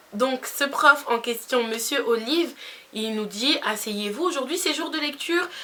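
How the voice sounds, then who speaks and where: A woman with a Spanish accent and a high pitch speaks at a fairly slow pace, her tone animated and her intonation lively, over noticeable background noise. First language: Spanish (speaking French). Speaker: beauty youtuber. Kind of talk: storytime vlog.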